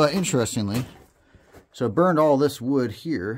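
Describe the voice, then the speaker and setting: The pitch swings very widely. Light background noise can be heard. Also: man. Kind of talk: casual exploration commentary. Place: tunnel cave. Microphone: phone near.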